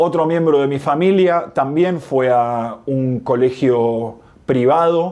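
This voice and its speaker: In a Rioplatense accent, a man speaks at a very slow pace with a fairly high pitch and a dark, mellow tone. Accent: Rioplatense Spanish (porteño). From Argentina, Buenos Aires. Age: 30s. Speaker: video essayist. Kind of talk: scripted narration.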